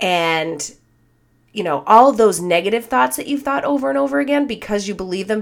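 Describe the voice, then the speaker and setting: Her pitch at a medium level, a woman speaks in an animated tone with very wide pitch swings. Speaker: life coach and podcast host. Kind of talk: casual solo podcast talk.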